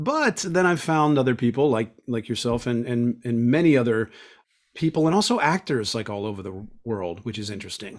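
A man speaks in an ordinary speaking voice with an American accent, at a medium pitch and moderate pace. The recording is very clean, with a silent background. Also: lively intonation. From Pittsburgh, Pennsylvania, US. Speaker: actor and audiobook narrator. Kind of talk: interview conversation.

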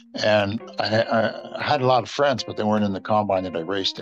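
Amid noticeable background noise, a man speaks at a fairly quick pace with a fairly low pitch. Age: 70s. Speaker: pigeon breeding expert. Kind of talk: casual chat.

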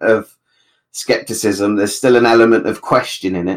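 Talking fairly quickly, a man speaks with a British accent. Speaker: podcast panelist. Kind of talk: casual chat. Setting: video call.

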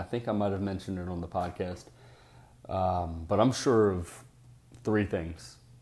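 With a very deep, low pitch and a dark, mellow tone, a man speaks at a moderate pace. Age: 30s. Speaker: podcast host. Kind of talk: casual monologue.

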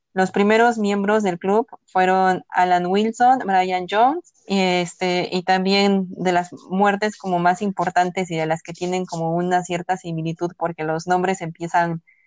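A woman's unremarkable speaking voice, medium in pitch with fairly even intonation, comes through dry and close with no echo. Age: 20s. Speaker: podcast co-host. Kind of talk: casual chat.

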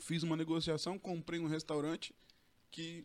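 A man is speaking. His pace is moderate. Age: 40s. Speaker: real estate sales coordinator and broker trainer. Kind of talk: casual interview chat.

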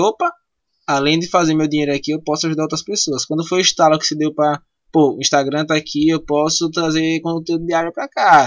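Music plays in the background as a man speaks. His pitch is fairly high and his pace very fast. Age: 20s. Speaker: podcast host. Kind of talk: casual interview.

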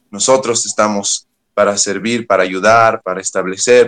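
A plain, everyday voice at a moderate pace with fairly even intonation, dry and close with no echo. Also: man. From Bolivia, Oruro. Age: young. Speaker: youth pastor. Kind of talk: interview.

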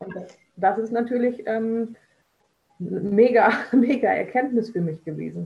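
A woman talks in a fairly high pitch with vocal fry. Her pace is very slow, with long, frequent pauses. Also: ordinary pitch variation, big swings in loudness. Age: 40s. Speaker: social pedagogue. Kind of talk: casual interview.

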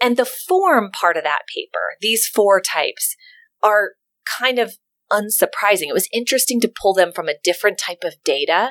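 A woman with an ordinary speaking voice and fairly high pitch talks at a moderate pace in a very clean recording with a silent background and a dry, close sound with no echo. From US South (Memphis, Tennessee). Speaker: professor. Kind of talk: interview.

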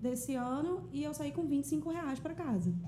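A woman speaks at a high pitch with very wide pitch swings, and audible room echo surrounds her voice. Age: 30s. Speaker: singer-songwriter and influencer. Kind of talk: casual chat.

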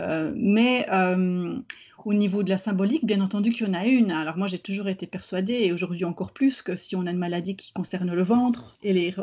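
A woman at a moderate pace, medium in pitch, with ordinary pitch variation. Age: 40s. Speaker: therapist. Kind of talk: interview. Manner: halting.

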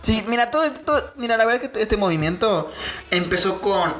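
A woman speaks in an animated tone, her pitch swinging very widely. Noticeable background noise runs underneath. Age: 20s. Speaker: podcast co-host. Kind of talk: casual chat.

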